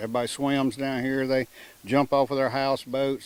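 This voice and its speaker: This man speaks with a Mississippi accent. He talks at a fairly quick pace. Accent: Southern US (Mississippi). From US South, coastal Mississippi. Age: 70s. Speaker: houseboat resident. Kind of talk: interview.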